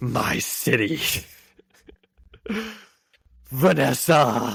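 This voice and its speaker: A raspy, put-on character voice from a man, medium in pitch, with very wide pitch swings and audible echo. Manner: menacing, brooding.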